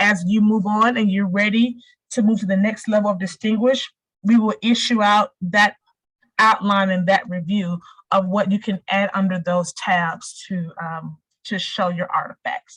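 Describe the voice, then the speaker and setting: At a moderate pace, a woman talks at a medium pitch with fairly even intonation. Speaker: school district program coordinator. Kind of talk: virtual meeting presentation.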